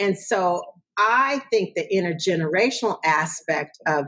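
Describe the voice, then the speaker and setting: A woman at a fairly slow pace, her intonation lively. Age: 60s. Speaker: theater director and arts educator. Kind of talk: interview. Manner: animated.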